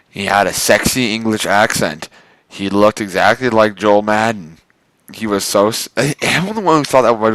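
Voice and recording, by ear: Over a quiet background, the speaker is reading aloud in a natural voice with ordinary pitch variation.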